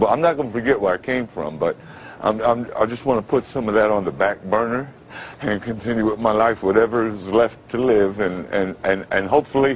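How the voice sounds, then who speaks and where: A man speaks fairly quickly, his pitch varying in an ordinary way, with noticeable noise in the background. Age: 50s. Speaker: radio announcer. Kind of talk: interview answer.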